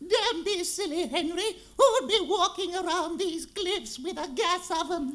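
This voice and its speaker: Put-on character voice from a man, moderate in pace and extremely high in pitch. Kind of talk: comic overacting. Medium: stage play.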